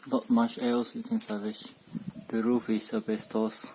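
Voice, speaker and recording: A man speaks over noticeable background noise. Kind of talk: house inspection walkthrough.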